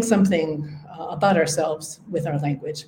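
A woman speaks with an Upper Midwestern accent and fairly even intonation. Background noise is noticeable. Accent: Upper Midwestern American. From US Upper Midwest. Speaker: linguistics professor. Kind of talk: interview conversation. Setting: university campus.

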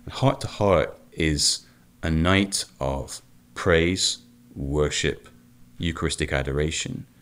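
A man's very deep, low voice with vocal fry, a very slow pace, long and frequent pauses, and ordinary pitch variation. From United Kingdom, Celtic region. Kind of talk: radio interview.

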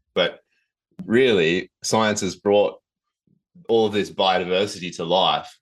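A man with an Australian accent speaks at a fairly slow pace. His pitch varies in an ordinary way against a quiet background. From Australia, Southern Highlands NSW. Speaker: nature education director. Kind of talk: interview.

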